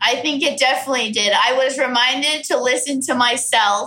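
Amid noticeable background noise, a woman with a Californian accent uses a raised, projected voice. Her pitch is high and her pace moderate. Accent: Californian American. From US West, Orange County, California. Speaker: comedian. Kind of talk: casual chat.

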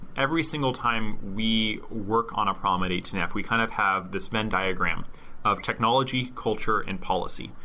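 A man with an unremarkable speaking voice, medium pitch and ordinary pitch variation, at a moderate pace with very even loudness. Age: 20s. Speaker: government tech worker. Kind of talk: interview.

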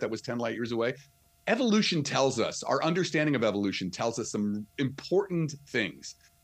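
Speaking with a New Jersey accent, this man has a fairly high pitch and very wide pitch swings. His pace is fairly quick. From New Jersey, near New York City. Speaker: astrophysicist and author. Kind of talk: interview. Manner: animated.

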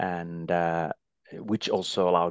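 With a Finnish accent, a man speaks in a very deep, low pitch, the sound dry and close with no echo against a quiet background. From Finland. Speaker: former ski endurance record holder and ski commentator. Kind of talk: casual interview. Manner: halting, many fillers.

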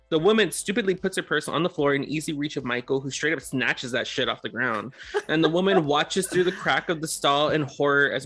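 A man talks at a fairly quick pace and a fairly high pitch, with ordinary pitch variation. He hardly pauses, and there is noticeable background noise. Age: 30s. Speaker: podcast co-host. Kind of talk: casual chat.

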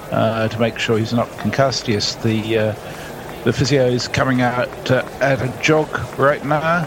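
Over noticeable background noise, a man speaks at medium pitch and a fairly slow pace with fairly even intonation. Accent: Australian. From Australia. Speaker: cricket commentator. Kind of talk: live commentary.

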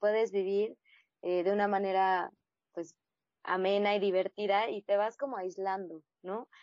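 A woman's medium-pitched, ordinary speaking voice at a fairly slow pace. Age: 30s. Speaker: blogger. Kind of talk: interview testimony.

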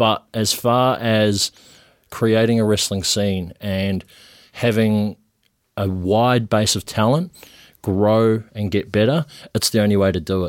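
With long, frequent pauses, a man in a New Zealand accent speaks at a fairly low pitch with fairly even intonation, the very clean recording dry and close with no echo over a silent background. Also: fairly slow pace. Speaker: professional wrestler. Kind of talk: casual chat. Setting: studio.

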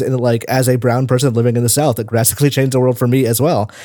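A man talks in a dark, mellow tone. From Tennessee. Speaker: games journalist. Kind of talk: casual chat.

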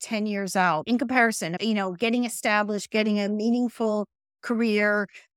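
An ordinary speaking voice with an American accent at a fairly quick pace, in a very clean recording with a silent background and a dry, close sound with no echo. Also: woman. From New Jersey. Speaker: college president. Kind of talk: interview.

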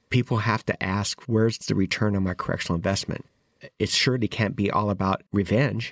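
A man's unremarkable speaking voice, fairly low in pitch with ordinary pitch variation, in a dry, close, very clean recording with no echo and a silent background. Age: 60s. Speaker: formerly incarcerated justice advocate. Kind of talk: interview testimony.

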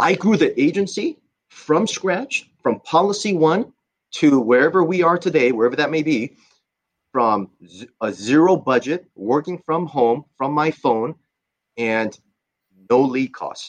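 An ordinary speaking voice, heard at a fairly slow pace in a dry, close sound with no echo. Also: man, fairly high pitch for a man. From Southern California (born in Korea). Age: 40s. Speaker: insurance agency owner. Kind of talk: interview.

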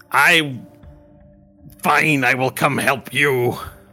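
Faint music plays in the background as a man puts on a raspy character voice at a medium pitch with fairly even intonation. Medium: actual play.

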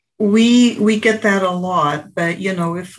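Speaking at a medium pitch, a woman uses a somewhat breathy voice and ordinary pitch variation. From Portugal. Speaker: insurance agent. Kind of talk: interview.

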